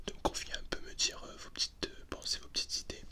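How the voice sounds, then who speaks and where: Whispering over noticeable background noise. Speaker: ASMR content creator. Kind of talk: ASMR roleplay talking to the listener. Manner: whispered, soft-spoken.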